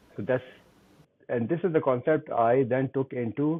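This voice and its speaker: At a moderate pace, a man speaks with a Pakistani accent. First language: Urdu. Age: 60s. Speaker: LinkedIn coach. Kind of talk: interview.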